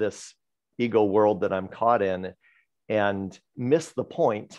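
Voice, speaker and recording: Against a quiet background, a man speaks very slowly at a fairly low pitch with fairly even intonation. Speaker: spiritual study group participant; discussion group host. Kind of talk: casual group discussion. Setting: video call. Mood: calm, reflective. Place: home room. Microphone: video call.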